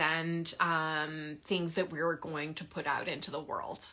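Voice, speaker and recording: A woman talks at a moderate pace. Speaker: sleep and parenting coach. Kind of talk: live Q&A monologue. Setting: livestream.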